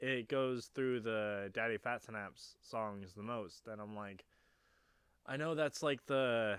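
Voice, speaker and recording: Very slowly, a man speaks at a medium pitch with ordinary pitch variation. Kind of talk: casual chat. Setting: home garage, noisy. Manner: halting.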